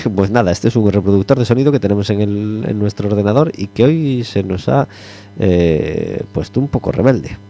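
Noticeable background noise sits behind a man with a fairly low pitch who speaks at a fairly quick pace with ordinary pitch variation. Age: 40s. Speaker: radio host. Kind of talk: radio magazine chat.

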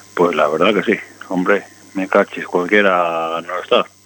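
Here a man is speaking. Noticeable background noise runs behind him. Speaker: motorcycle mechanic. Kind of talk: casual chat. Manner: fast.

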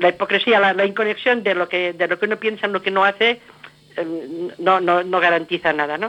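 A woman speaks at medium pitch. Background noise is noticeable. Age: 70s. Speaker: former radio host, activist. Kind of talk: interview.

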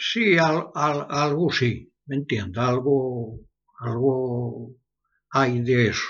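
This man talks very slowly at a medium pitch, with ordinary pitch variation. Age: 80s+. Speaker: blacksmith and metal artist. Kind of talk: interview. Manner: halting, repeats words.

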